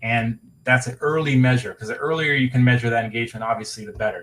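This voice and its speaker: At a fairly quick pace, a man with a medium pitch talks in a somewhat breathy voice with fairly even intonation. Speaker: webinar presenter. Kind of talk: webinar presentation. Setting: online webinar. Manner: fast.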